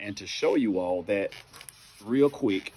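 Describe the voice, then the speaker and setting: In a Southern US accent, a man speaks with a fairly low pitch. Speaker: bible teacher. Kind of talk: informal bible teaching monologue.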